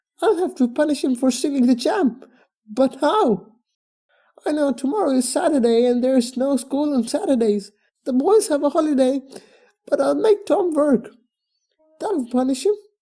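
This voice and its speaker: A high-pitched, put-on character voice moves at a moderate pace. Long, frequent pauses break up the lines. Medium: read story. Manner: scolding.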